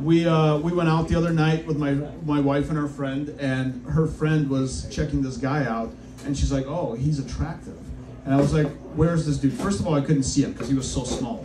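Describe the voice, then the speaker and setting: Noticeable background noise sits behind a man with a fairly high pitch. He speaks at a moderate pace with fairly even intonation. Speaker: stand-up comedian. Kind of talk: stand-up comedy set. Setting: comedy club stage with live audience. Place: stage. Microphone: camera far.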